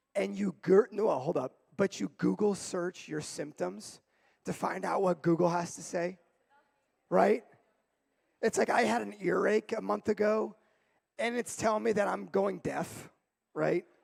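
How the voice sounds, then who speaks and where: A loud, energetic man's voice, high in pitch, with lively intonation, a fairly slow pace and long, frequent pauses. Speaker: youth pastor. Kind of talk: sermon.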